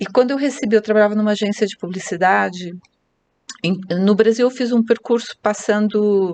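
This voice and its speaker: Using a plain, everyday voice, a woman talks at a medium pitch, her pitch varying in an ordinary way. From Brazil, Curitiba (Paraná). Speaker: real estate agent and team leader. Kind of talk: podcast interview.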